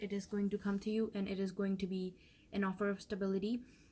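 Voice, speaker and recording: Somewhat breathy, a woman talks at a very fast pace with a medium pitch and a dark, mellow tone. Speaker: tarot reader. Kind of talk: tarot reading monologue. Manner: casual, hesitant with fillers.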